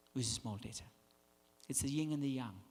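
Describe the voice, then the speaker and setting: A man with a strong Danish accent, animated in tone, with ordinary pitch variation. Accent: thick Danish. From Denmark. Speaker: branding consultant. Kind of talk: keynote speech. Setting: conference stage with audience.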